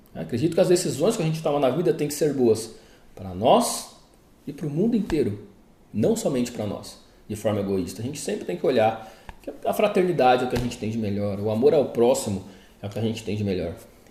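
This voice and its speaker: The speech moves at a fairly quick pace with very wide pitch swings. Audible room echo surrounds it. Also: man, medium pitch for a man. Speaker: therapist. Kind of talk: casual talk to viewers; commented reading. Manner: informal, conversational.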